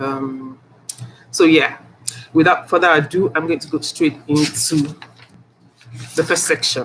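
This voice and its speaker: The speaker goes at a fairly slow pace with fairly even intonation and long, frequent pauses, against noticeable background noise. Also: woman, very deep, low pitch for a woman. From Nigeria. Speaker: author. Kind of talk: author reading. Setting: livestream audio room. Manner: hesitant, many fillers.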